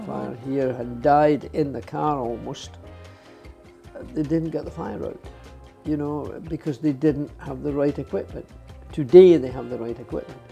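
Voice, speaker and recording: Music plays in the background as a man with a Scottish accent talks at a moderate pace, leaving long, frequent pauses. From Scotland. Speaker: retired racing driver. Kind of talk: interview answer.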